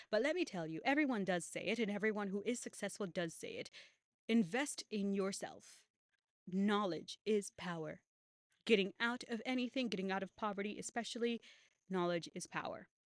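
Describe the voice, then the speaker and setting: This voice moves at a moderate pace with ordinary pitch variation, recorded with a dry, close sound and no echo. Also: woman, medium pitch for a woman. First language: not English. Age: 20s. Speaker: YouTuber. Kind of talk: casual monologue.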